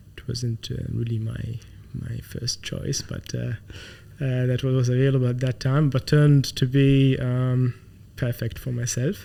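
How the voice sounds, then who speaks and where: A dark, mellow tone with an Arabic accent, fairly slow in pace and fairly even in intonation. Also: man. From Saudi Arabia (Khafji, Eastern Province). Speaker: tech company founder and CEO. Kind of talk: interview. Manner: halting, many fillers.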